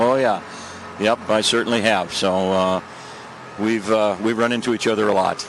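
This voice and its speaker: At a moderate pace, a man with an American accent and a fairly low voice speaks in a monotone, flat way at very even loudness, with long, frequent pauses and noticeable background noise. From US Midwest, Saint Paul, Minnesota. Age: 70s. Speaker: hockey coach. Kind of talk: between-periods interview. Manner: halting, many fillers.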